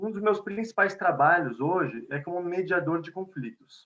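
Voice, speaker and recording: A man with a São Paulo accent and a high pitch speaks at a fairly slow pace with ordinary pitch variation. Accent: São Paulo (paulistano) Portuguese. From Brazil, São Paulo. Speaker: conflict mediator and lecturer. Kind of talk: lecture. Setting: video call. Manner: conversational.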